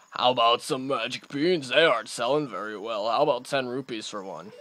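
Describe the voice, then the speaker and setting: In a put-on character voice, a man speaks at a fairly quick pace and medium pitch, with ordinary pitch variation and big swings in loudness. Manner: hawking, salesman-like.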